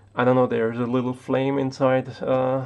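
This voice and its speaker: A man with a German accent at a medium pitch, over noticeable background noise. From Austria. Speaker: tech YouTuber. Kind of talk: casual live stream monologue. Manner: halting, many fillers and repetitions.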